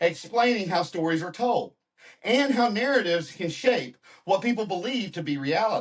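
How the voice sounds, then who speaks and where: Speaking at a moderate pace with a Southern US accent, a man uses a high voice with very wide pitch swings. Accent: Southern American. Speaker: podcast host. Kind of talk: interview; scripted intro.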